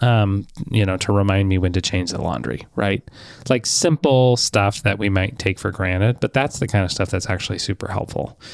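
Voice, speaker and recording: A man with a plain, everyday voice, fairly low in pitch, with ordinary pitch variation at a moderate pace. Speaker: podcast co-host. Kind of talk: casual chat.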